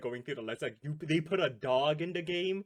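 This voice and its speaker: Using lively intonation, a man speaks at a moderate pace. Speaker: gaming content creator. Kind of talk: casual chat. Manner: halting, many false starts.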